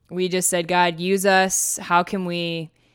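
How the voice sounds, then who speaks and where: On a very clean recording with a silent background, a woman talks with an Upper Midwest accent. Her pitch is medium and her pace fairly slow. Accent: Upper Midwest American. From Minnesota, US Upper Midwest. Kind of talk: personal testimony. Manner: frequent laughter.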